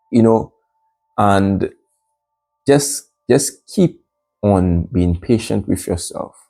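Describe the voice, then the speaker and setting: A man's fairly low-pitched voice over music in the background. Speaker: motivational vlogger. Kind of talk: motivational monologue. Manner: halting, repeated words.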